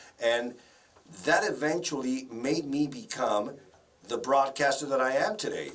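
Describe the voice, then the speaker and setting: Audible room echo and noticeable background noise fill the recording. The speech holds a moderate pace. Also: man. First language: Spanish. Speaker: broadcaster and voice-over professional. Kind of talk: interview.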